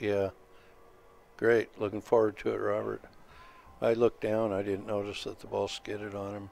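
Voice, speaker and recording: A man's relaxed tone in a fairly low pitch, monotone and flat in intonation, with long, frequent pauses. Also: moderate pace, big swings in loudness. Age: 60s. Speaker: pool stream commentator. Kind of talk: live commentary. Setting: tournament venue livestream. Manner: relaxed, sparse commentary.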